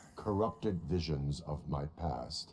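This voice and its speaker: Putting on a character voice, a man speaks fairly slowly at a very deep, low pitch, with clear background noise. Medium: game stream. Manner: flat, terse.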